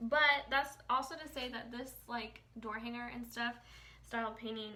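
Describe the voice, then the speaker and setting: With an American accent, a woman speaks at a moderate pace and a fairly high pitch, and audible room echo surrounds her voice. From Indiana, US Midwest. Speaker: painting instructor and sign artist. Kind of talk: live-stream painting tutorial. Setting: live stream reading comments. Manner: casual, chatty; quiet.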